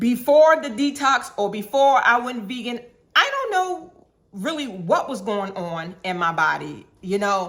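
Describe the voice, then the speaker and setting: Fairly high in pitch, a woman speaks at a fairly slow pace with very wide pitch swings. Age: 60s. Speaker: health vlogger reviewing a detox. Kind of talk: casual review monologue. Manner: chatty, many fillers and restarts.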